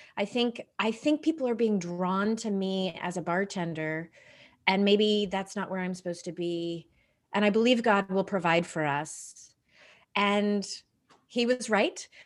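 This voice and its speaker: A woman's medium-pitched voice at a fairly slow pace with ordinary pitch variation, on a very clean recording with a silent background. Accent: American. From Texas. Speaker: real estate team leader. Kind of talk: faith interview. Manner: animated.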